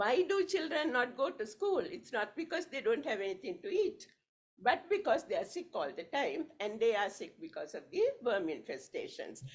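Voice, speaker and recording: Her high voice swinging very widely in pitch, a woman talks at a moderate pace. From Sri Lanka. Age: 70s. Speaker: evaluation expert. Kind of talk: conference speech.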